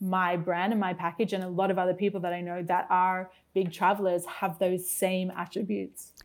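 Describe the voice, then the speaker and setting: With an Australian accent, a woman speaks at a fairly quick pace in a very clean recording with a silent background. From Australia, Brisbane. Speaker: guest experience consultant. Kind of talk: casual interview chat.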